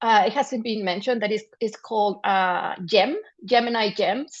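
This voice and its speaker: Against a quiet background, a woman with a Spanish accent speaks at a moderate pace in a fairly high pitch with ordinary pitch variation. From Mexico. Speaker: journalism trainer and panelist. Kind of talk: panel discussion. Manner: halting, with many repetitions and false starts.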